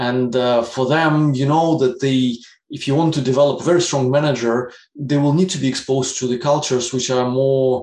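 Moderately paced male speech at a medium pitch, the intonation fairly even. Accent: Russian. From Russia. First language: Russian. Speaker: business executive. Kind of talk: interview. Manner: hesitant, many fillers.

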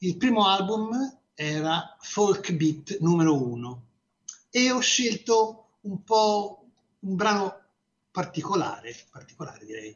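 A man speaks at a very slow pace in a high-pitched voice. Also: lively intonation. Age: 60s. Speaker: radio host. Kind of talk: radio music show presenting. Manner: halting, with frequent fillers and repetitions.

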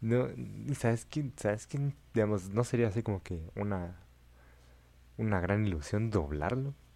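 The voice has a dark, mellow tone. Long pauses come often. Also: man, fairly low pitch for a man. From Central America. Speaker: podcast co-host and editor. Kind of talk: casual chat.

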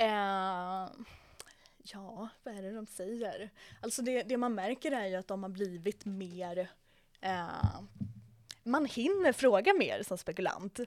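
At a very slow pace with long, frequent pauses, a woman speaks at a medium pitch with ordinary pitch variation and big swings in loudness. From Sweden, Södermanland countryside. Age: 20s. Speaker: real estate agent. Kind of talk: interview. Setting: after a viewing in an apartment.

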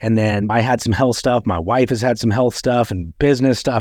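Here is a man with an ordinary speaking voice and an American accent, medium in pitch with ordinary pitch variation. He keeps a moderate pace on a very clean recording with a silent background. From Utah. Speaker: podcast host. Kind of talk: casual chat.

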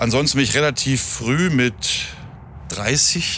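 A man's voice with ordinary pitch variation. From northern Germany, near Hameln. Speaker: hospitality professional. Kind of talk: casual interview. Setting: outdoors near an airport.

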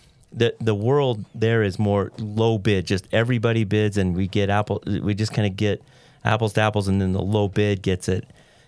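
Speaking at a moderate pace with an American accent, a man with a fairly low pitch keeps a monotone, flat intonation and very even loudness over a very clean recording with a silent background. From Idaho, US. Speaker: entrepreneur. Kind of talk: interview.

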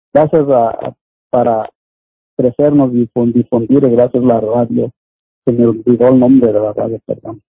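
Long, frequent pauses break up a man's monotone, flat delivery at a medium pitch. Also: moderate pace. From Oaxaca, Mexico. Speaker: community activist. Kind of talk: interview.

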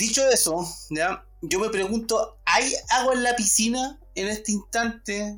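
A man's high voice with a Chilean accent at a very slow pace, with music in the background. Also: ordinary pitch variation. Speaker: podcast host. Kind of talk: casual political chat. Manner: halting, many fillers.

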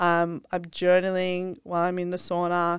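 The recording is very clean, with a silent background. A woman with an Australian accent and a medium pitch speaks at a moderate pace. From Australia, Sydney. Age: 30s. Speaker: health and wellness influencer. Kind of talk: casual interview chat.

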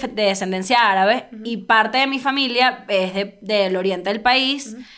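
At a moderate pace, a woman with a fairly high pitch talks in an animated tone with ordinary pitch variation. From Venezuela. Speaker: comedian. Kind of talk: casual chat.

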